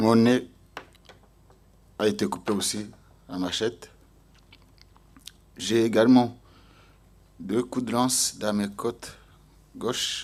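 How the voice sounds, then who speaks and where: In a Rwandan accent, a man speaks very slowly with fairly even intonation and long, frequent pauses. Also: medium pitch for a man. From Rwanda, Mugina commune. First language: Kinyarwanda (speaking French). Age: 40s. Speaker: genocide survivor. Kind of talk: testimony. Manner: halting, with repetitions.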